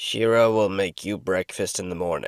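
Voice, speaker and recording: A man does a put-on character voice that is raspy and fairly low in pitch. His intonation stays fairly even. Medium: read story. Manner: curt, gruff.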